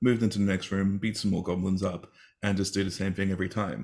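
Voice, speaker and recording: A man with an Australian accent talks very fast at a fairly low pitch. The recording is very clean, with a silent background. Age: 40s. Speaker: teacher and game therapy advocate. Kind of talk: interview on a live stream.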